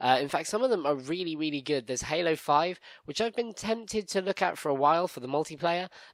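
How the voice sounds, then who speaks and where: Speaking very fast with a British accent, a man with a fairly high pitch uses lively intonation and hardly any pauses. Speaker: gaming podcast host. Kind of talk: casual podcast news chat.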